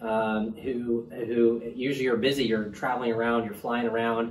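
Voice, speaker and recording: This man's voice sits at a medium pitch, delivered flat and monotone at a moderate pace. Noticeable background noise and audible room echo come through. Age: 40s. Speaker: urologist. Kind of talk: patient interview. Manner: halting.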